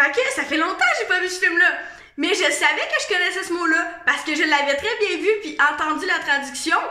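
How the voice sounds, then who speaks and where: A raised, projected voice with a Quebec accent speaks at a moderate pace with ordinary pitch variation. Noticeable background noise and audible room echo surround it. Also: woman, extremely high pitch for a woman. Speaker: vlogger. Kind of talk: casual monologue vlog. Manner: casual, hesitant with fillers.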